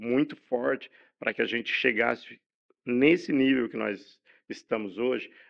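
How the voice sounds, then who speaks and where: A man with a normal speaking voice talks at a fairly slow pace, his medium pitch showing ordinary variation. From Brazil, São Paulo state (Campinas/Hortolândia area). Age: 60s. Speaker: journalist. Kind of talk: podcast interview. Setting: studio.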